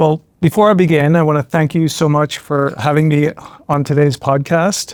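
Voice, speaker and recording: A man at a fairly high pitch and moderate pace, with fairly even intonation, very even loudness, and a dry, close sound with no echo. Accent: American. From Ireland. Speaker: trial lawyer. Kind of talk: podcast interview.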